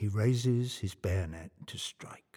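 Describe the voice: Plain reading aloud with ordinary pitch variation, over a quiet background.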